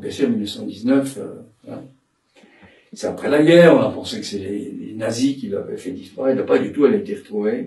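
At a moderate pace, a man speaks with big swings in loudness and long, frequent pauses. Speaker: psychoanalyst and dramatic tenor giving a seminar. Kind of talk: lecture. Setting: seminar room with audience. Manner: halting, many repetitions and fillers.

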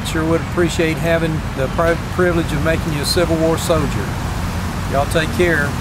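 Loud background noise fills the clip, though the sound is dry with no echo. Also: man. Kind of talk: casual vlog chat. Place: open country. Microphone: phone near.

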